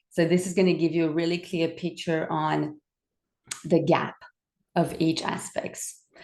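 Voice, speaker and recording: A woman with a French Canadian accent speaks at a fairly slow pace and a fairly low pitch. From French Canada. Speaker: wellbeing coach. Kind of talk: webinar presentation. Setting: recorded webinar on camera.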